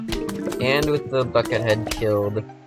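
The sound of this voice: An unforced reading voice with ordinary pitch variation carries the clip.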